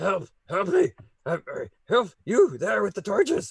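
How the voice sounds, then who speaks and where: Growling and gruff, this is a put-on character voice. It moves at a fairly slow pace. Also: man. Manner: desperate, pleading.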